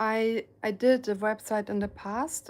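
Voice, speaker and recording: A soft-spoken woman talks with a German accent at a very slow pace. The recording is very clean, with a silent background. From Germany. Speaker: painter and live streamer. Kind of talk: casual live stream chat. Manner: hesitant, many fillers.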